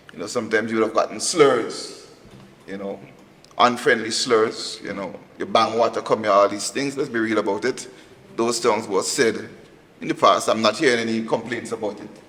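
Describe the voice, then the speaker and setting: There's a man here, talking fairly quickly. Behind him, background noise is clearly noticeable. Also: medium pitch for a man, fairly even intonation, big swings in loudness. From Grenada. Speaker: police officer. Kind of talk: panel discussion.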